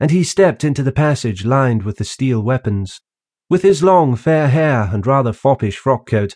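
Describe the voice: The background is quiet while plain reading aloud comes through with lively intonation.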